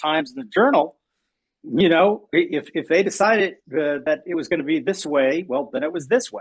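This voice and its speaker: A man with a plain, everyday voice, fairly high in pitch, speaks at a moderate pace with lively intonation in an American accent. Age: 60s. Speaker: podcast host. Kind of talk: casual chat. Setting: live audio chat room.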